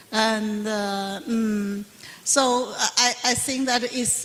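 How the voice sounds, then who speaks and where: A woman's fairly high voice at a very slow pace, with noticeable background noise. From Taiwan. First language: Mandarin Chinese. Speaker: Buddhist nun and professor. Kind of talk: panel Q&A answer. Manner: halting, many fillers.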